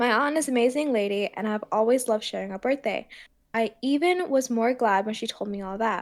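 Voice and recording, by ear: Pitch varies in an ordinary way as the text is read aloud in a natural voice.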